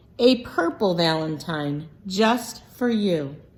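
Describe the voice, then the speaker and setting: Using a put-on character voice, a woman speaks very slowly at a medium pitch. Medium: read story. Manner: boastful.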